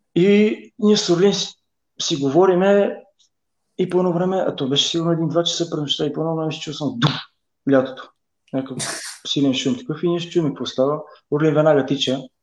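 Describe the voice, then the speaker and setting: A man with a fairly high pitch talks at a fairly quick pace, varying his pitch in an ordinary way and pausing long and often. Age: 40s. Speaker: professional footballer. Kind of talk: casual interview. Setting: Facebook live video.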